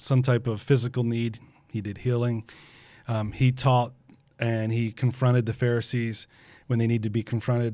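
With a dark, mellow tone, a man speaks in a monotone, flat way. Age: 50s. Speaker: pastor. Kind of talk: casual chat.

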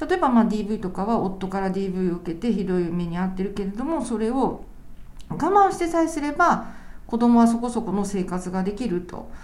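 A woman of medium pitch talks at a moderate pace, with audible room echo. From Japan, Kanagawa Prefecture. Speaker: lawyer. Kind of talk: interview conversation.

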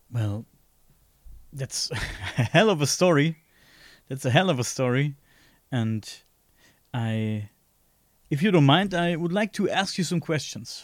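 A man with a fairly high pitch talks at a fairly slow pace, leaving long, frequent pauses. His pitch swings very widely, and the recording is very clean with a silent background. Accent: German. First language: German. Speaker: podcast host. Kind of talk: interview. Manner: halting.

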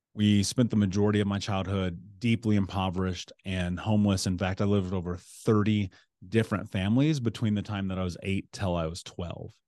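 In a Midwestern American accent, a man speaks at a fairly quick pace with a fairly low pitch, a dark, mellow tone and fairly even intonation. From US Midwest (Indianapolis, Indiana). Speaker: author, coach and motivational speaker. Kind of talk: interview conversation.

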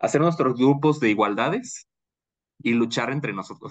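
The man keeps a moderate speed. Ordinary variation shows in his pitch. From Bolivia. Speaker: marketing professional. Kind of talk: casual chat.

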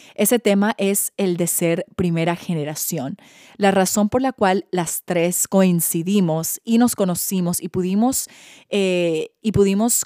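A woman's dark, mellow voice at medium pitch, moderate pace and ordinary pitch variation, dry and close with no echo. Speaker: podcast host. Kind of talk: scripted narration.

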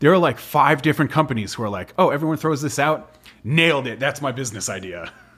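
A man talks at a very fast pace with vocal fry and a fairly high pitch. The recording is very clean, with a silent background. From western Massachusetts. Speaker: legal director and co-founder of a marching band sports company. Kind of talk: casual interview chat. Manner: informal, joking.

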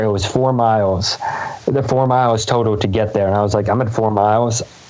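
A man with an American accent, fairly quick and monotone, flat in intonation, amid audible room echo and noticeable background noise. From US, Pennsylvania (Lancaster). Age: 20s. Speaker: amateur runner. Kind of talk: interview conversation.

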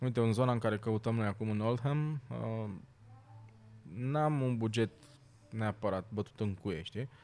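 Fairly slow in pace, the man's speech shows ordinary pitch variation. Long, frequent pauses break it up. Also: medium pitch for a man. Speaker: stand-up comedian. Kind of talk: casual chat.

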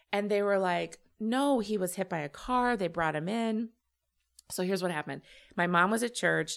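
Recorded very cleanly against a silent background, a woman with an unremarkable speaking voice speaks at a moderate pace and medium pitch with ordinary pitch variation. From Illinois (Champaign). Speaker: comedian and web series creator. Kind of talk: casual interview chat.

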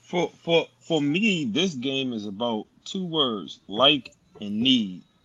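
A man speaks at a very slow pace, his pitch swinging very widely. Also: medium pitch for a man. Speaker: panelist, football fan. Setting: in a studio, watching game. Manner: excited.

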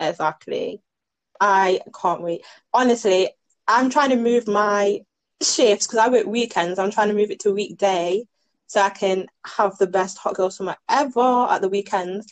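A woman with an English accent, fairly slow pace, and ordinary pitch variation. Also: medium pitch for a woman. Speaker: podcast co-host. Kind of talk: casual chat.

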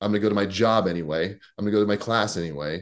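A man's unremarkable speaking voice, fairly low in pitch, with ordinary pitch variation at a fairly quick pace over a quiet background. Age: 40s. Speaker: pastor and former fitness competitor. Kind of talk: casual chat.

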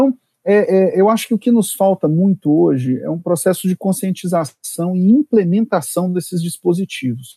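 A man talks at a moderate pace with hardly any pauses and lively intonation. His voice is high-pitched with a dark, mellow tone, in a dry, close sound with no echo. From Brasília, Brazil. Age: 40s. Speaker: public prosecutor and law professor. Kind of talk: interview on legal topics. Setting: remote recording.

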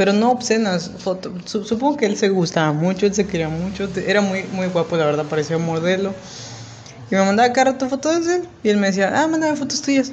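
The speaker has a Mexican accent and a fairly quick pace. Noticeable background noise can be heard. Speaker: podcast co-host. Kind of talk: casual chat.

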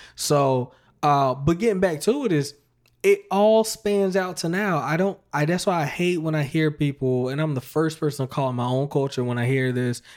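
In a normal speaking voice, a man with an American accent talks at a moderate pace with ordinary pitch variation. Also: fairly high pitch for a man. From US South, North Carolina. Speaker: podcast host. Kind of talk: casual interview chat.

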